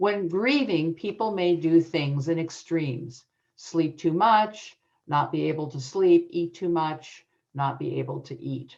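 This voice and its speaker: Speaking fairly slowly, a woman uses an ordinary speaking voice with a fairly low pitch and ordinary pitch variation. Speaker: adoption educator and author. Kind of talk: conference presentation.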